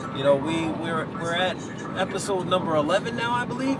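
At a moderate pace, a man speaks over clear background noise.

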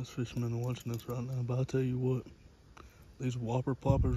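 Loud background noise surrounds a man with an American accent. He speaks at a fairly quick pace. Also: dry sound with no echo. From North Carolina. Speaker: ASMR creator. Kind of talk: ASMR whispering. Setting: outdoors by a pond. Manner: whispering. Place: waterside. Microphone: phone mic picks up breathing; phone near.

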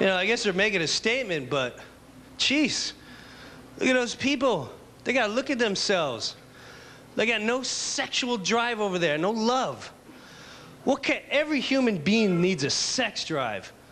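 A man speaks at a moderate pace in a raised, projected voice. His intonation is lively, broken by long, frequent pauses. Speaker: stand-up comedian. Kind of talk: stand-up comedy routine. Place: stage. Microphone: handheld.

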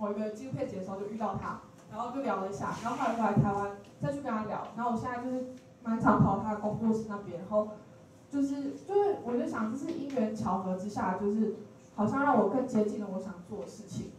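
With audible room echo and light background noise, a woman with a Taiwanese accent talks very fast at a fairly high pitch with ordinary pitch variation. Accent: Taiwanese Mandarin. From Taichung, Taiwan. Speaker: student on leave, storyteller. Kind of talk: personal story sharing talk. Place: hall.

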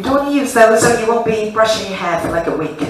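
A woman is speaking with noticeable background noise. Audible room echo surrounds her voice. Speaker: fitness instructor. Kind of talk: class instruction. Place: gym.

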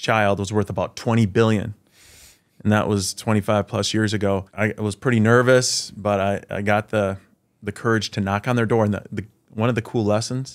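A fairly low-pitched man in a monotone, flat delivery at a moderate pace, over a quiet background. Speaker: podcast guest. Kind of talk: interview answer. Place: studio. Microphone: studio mic.

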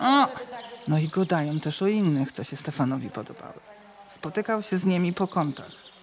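Noticeable background noise is present. The pitch varies in an ordinary way. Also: woman. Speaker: voice-over reader. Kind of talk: folk-dialect storytelling podcast narration.

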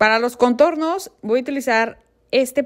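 The background is quiet as a woman speaks at a moderate pace. Her pitch varies in an ordinary way. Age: 30s. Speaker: beauty and fashion vlogger; fashion vlogger. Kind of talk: makeup tutorial; casual farewell to viewers. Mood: warm, friendly. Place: home room. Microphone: camera far.

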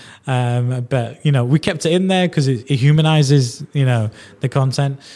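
A man with a strong Yorkshire accent, dark and mellow in tone, at a fairly quick pace in a very clean recording with a silent background. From northern England (Yorkshire). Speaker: podcast host. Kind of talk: casual interview chat.

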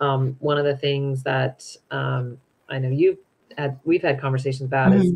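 In an American accent, a woman speaks at a moderate pace with a very deep, low pitch. Her intonation stays fairly even. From US West, Utah (Salt Lake City); Utah. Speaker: nonprofit program director; guest. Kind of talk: interview conversation. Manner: hesitant, many fillers. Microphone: video call.

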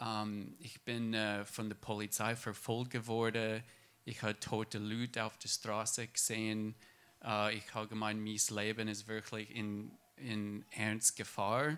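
Very slowly and in a monotone, flat delivery, a man with a fairly low voice speaks with an English accent in a very clean recording with a silent background. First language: English (speaking German). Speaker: church member. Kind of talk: testimony. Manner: halting.

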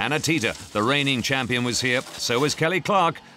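An energetic, excited male voice amid noticeable background noise. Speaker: sports commentator. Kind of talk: sports commentary recap, scripted narration. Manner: brisk, energetic, clipped; excited, building to a climax.

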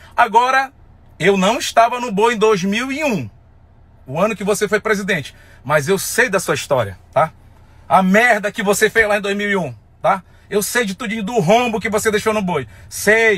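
This man's voice is high in pitch, with a bright, sharp tone and a fairly slow pace. He leaves long, frequent pauses, and the sound is dry with no echo. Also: ordinary pitch variation. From Amazonas, Brazil. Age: 30s. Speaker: folk festival singer. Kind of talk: angry rant to camera. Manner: heated, emphatic. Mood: angry, confrontational. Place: car. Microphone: phone near.

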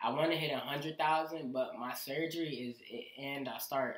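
There is audible room echo as a man speaks at a moderate pace with fairly even intonation. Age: young. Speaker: musician. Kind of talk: casual chat. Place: home room.

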